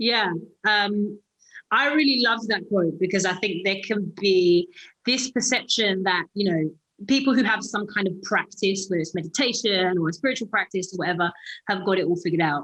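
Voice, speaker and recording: A woman talks at a fairly quick pace with a British accent. Her loudness is very even, and her pitch varies in an ordinary way. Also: medium pitch for a woman. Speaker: actress. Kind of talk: interview. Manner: hesitant, many fillers.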